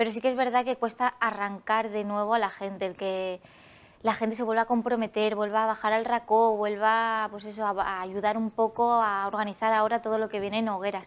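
Moving at a fairly quick pace, a woman speaks in a fairly high voice with monotone, flat intonation. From Alicante, Spain; Spain. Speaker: festival queen; interview guest. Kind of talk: TV interview. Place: studio. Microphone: lapel.

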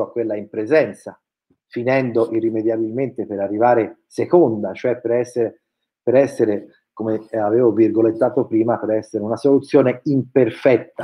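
The background stays quiet. A man's speech moves at a moderate speed. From Tuscany, near Florence; Tuscany. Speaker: educational technology researcher. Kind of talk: webinar presentation. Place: home room. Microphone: webcam.

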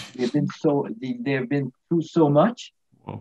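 A man with a Quebec accent speaks at a moderate pace with ordinary pitch variation against a quiet background. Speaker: retired physiotherapist; guest. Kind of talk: interview; interview answer. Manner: halting. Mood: warm, animated. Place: home room. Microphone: video call.

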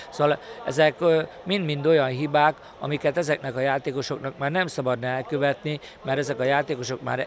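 Against light background noise, a man talks with fairly even intonation in a dry sound with no echo. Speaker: water polo coach. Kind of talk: interview statement. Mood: critical, matter-of-fact. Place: garden. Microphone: handheld.

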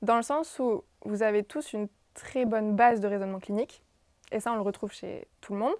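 A woman talks at a fairly quick pace with ordinary pitch variation, and the sound is dry with no echo over a quiet background. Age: 20s. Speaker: physiotherapy student intern. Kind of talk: casual chat. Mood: calm, reflective. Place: office. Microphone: lapel.

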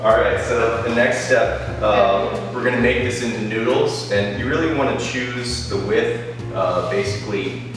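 Clear music plays behind a man who speaks fairly slowly in a room with strong echo. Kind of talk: tutorial. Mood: relaxed and friendly. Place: kitchen. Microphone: camera far.

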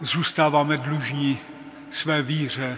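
Speaking at a very slow pace, a man talks. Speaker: presiding bishop. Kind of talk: liturgical address. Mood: solemn, calm. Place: church.

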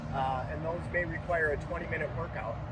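Loud background noise runs under a man speaking at a fairly quick pace in a dry sound with no echo. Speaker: fitness product demonstrator. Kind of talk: casual tutorial. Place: street. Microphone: phone near.

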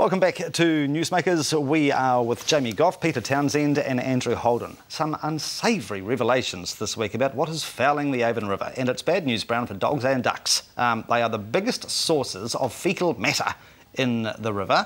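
Using lively intonation, a man of medium pitch with a New Zealand accent talks at a moderate pace with hardly any pauses. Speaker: TV show host. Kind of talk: TV panel discussion, host moderating. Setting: studio. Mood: jokey, light-hearted. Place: studio. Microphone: lapel.

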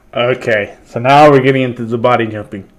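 The speaker is a man. He keeps to a moderate pace. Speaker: reaction commentator. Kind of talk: casual reaction commentary. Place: home room. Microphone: webcam.

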